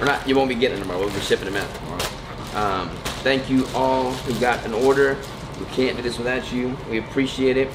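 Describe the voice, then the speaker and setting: A man talks at a very fast pace, medium in pitch, with fairly even intonation. Noticeable background noise and audible room echo come through. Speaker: vlogger and keto food business owner. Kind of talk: casual vlog. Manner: casual, relaxed.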